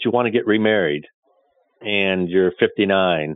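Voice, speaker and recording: There is ordinary pitch variation in this man's fairly low-pitched voice. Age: 60s. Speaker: investment manager. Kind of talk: interview.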